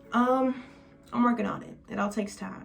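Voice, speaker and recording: A woman speaks with monotone, flat intonation. Noticeable background noise runs under her voice. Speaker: lifestyle vlogger. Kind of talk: casual monologue to camera. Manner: fast.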